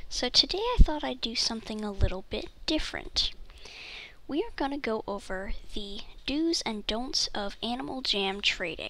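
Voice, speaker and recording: The speaker is soft-spoken. The pace is moderate. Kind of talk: casual gameplay tips voiceover.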